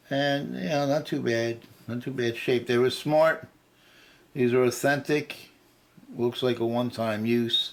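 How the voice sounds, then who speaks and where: A man mumbles at a fairly slow pace with fairly even intonation and long, frequent pauses. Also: medium pitch for a man. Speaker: guitar hobbyist video maker. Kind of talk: tutorial. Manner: halting; mumbling.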